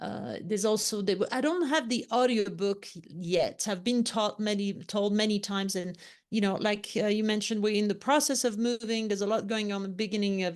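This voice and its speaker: Against a quiet background, a woman with a French accent talks at a medium pitch with fairly even intonation. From France, Lyon. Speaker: leadership consultant and author. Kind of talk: interview.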